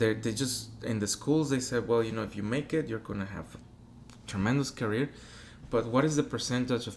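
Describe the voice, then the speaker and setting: A man with a Spanish accent at a medium pitch and a fairly quick pace. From Mexico. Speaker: opera singer. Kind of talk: interview.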